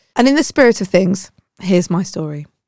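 A woman speaks in a British accent at a medium pitch, her intonation lively. The recording is very clean, with a silent background. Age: 40s. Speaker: podcast host. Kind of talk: personal monologue to listeners.

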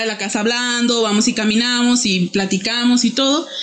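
A woman with a fairly high pitch speaks at a moderate pace. Her intonation is fairly even, with noticeable background noise behind her. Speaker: podcast guest. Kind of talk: casual chat.

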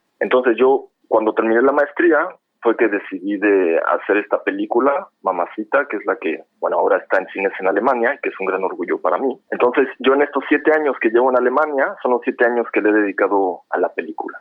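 Here a man talks at a fairly quick pace with hardly any pauses. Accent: Mexico City. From Mexico City. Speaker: film director. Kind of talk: interview.

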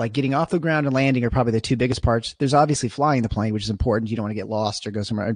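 Over a quiet background, a man with an American accent speaks at a very fast pace. His pitch is medium with ordinary variation. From Michigan, US Midwest. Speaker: anesthesiologist and podcast host. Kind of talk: casual interview.

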